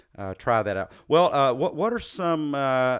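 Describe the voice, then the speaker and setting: A man with a slight Southern US accent speaks at a fairly slow pace, his pitch swinging very widely, on a very clean recording with a silent background. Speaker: podcast host, psychologist. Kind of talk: interview conversation. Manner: halting, many fillers.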